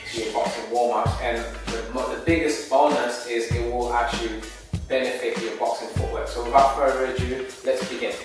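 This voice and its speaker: Over clear background music and strong room echo, a man talks at a moderate pace. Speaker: boxing coach. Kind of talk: tutorial. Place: gym. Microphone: camera far.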